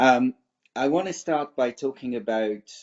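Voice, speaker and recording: Speaking at a moderate pace, a man in a French accent keeps his intonation fairly even. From France. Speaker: cybersecurity expert. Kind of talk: webinar presentation.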